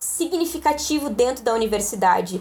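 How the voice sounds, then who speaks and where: With a normal speaking voice, a woman talks at a moderate pace in a fairly high pitch with lively intonation, on a very clean recording with a silent background. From Rio Grande do Sul, Brazil (Canoas, Guaíba, Porto Alegre). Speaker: librarian and doctoral researcher. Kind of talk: casual podcast interview.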